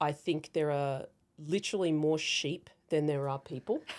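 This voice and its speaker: A woman speaks very slowly in an Australian accent. Her pitch is very deep and low, and her intonation stays fairly even. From Australia, rural central New South Wales. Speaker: cybersecurity founder and former navy intelligence officer. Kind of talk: interview.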